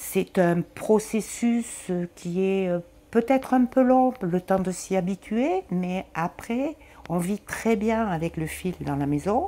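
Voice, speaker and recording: A woman with a dark, mellow tone speaks at a very slow pace. Her pitch is medium and her intonation lively. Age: 60s. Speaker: patient with lung disease. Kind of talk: testimony.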